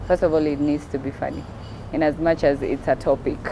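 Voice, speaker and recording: A woman speaks in a Kenyan accent over noticeable background noise. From Kenya, Kibera. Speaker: stand-up comedian. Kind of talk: interview answer.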